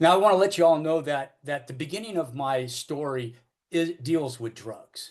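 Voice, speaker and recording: This man has a high pitch and an American accent. His delivery is moderately paced with lively intonation. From Northern California (Oakland). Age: 60s. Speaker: recovering alcoholic speaker. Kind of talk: AA recovery talk / testimony. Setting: AA meeting. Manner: halting, many fillers and repetitions.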